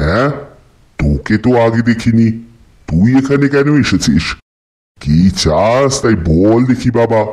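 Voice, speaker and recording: Against a silent background in a very clean recording, a man puts on a character voice at a medium pitch and a fairly slow pace. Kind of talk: old-fashioned Calcutta household speech. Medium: read story. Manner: gruff, scolding, grandfatherly.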